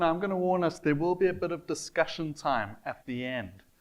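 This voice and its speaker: A South African accent at a moderate pace, against a quiet background. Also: man. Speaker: church volunteer host. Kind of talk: event introduction.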